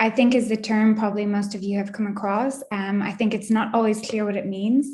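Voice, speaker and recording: A woman speaks with an Irish accent at a fairly high pitch. Her voice is somewhat breathy. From Ireland, Wicklow near Dublin. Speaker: data scientist. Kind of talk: technical talk.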